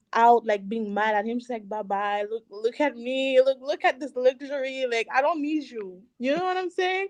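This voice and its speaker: A woman's high-pitched voice with a French accent and lively intonation, dry and close with no echo. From Canada, Haitian family, Montreal area. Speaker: singer and cosmetics business owner. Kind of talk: interview.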